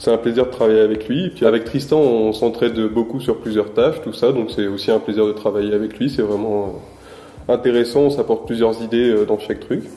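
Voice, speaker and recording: Audible room echo follows a man as he speaks at a fairly quick pace. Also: medium pitch for a man, fairly even intonation. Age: 20s. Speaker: sports club communications trainee; guest. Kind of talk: interview. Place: home room.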